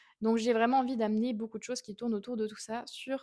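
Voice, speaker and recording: A woman with a dark, mellow tone talks at a fairly quick pace and a fairly high pitch. The sound is dry and close, with no echo. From Switzerland, canton of Fribourg. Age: 20s. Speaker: equine behaviourist and podcast host. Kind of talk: podcast monologue.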